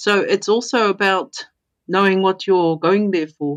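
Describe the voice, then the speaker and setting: With a New Zealand accent, the speaker keeps a fairly even intonation over a quiet background. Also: woman. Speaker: intuitive coach and mentor. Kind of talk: podcast interview.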